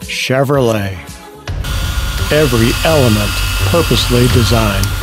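A man speaks in a dry sound with no echo as clear music plays in the background. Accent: American. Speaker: voice actor. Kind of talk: TV commercial read. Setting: studio. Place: booth.

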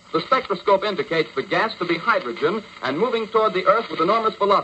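In a raised, projected voice, a man talks at a very fast pace over noticeable background noise. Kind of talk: radio news bulletin read. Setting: old radio broadcast.

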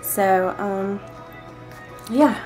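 A woman speaks in a Southern US accent. Clear music plays in the background. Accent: Southern US country. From Georgia, US. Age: 20s. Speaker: vlogger. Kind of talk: casual talk to camera. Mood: playful, a bit shy. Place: home room. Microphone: webcam.

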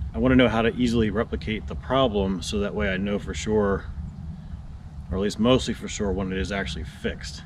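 Noticeable background noise sits behind a man with a fairly low voice. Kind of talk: casual vlog chat. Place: open country. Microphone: camera far.

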